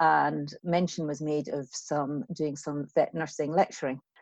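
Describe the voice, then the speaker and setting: A woman speaks with a Scottish accent in a very deep, low pitch. The sound is dry and close with no echo, over a quiet background. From west of Scotland. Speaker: veterinary lecturer. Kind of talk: casual interview.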